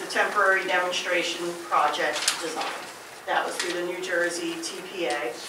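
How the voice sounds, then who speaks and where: The recording has audible room echo. Loud background noise is present. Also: moderate pace. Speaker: municipal official. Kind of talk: official report. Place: meeting room. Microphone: camera far.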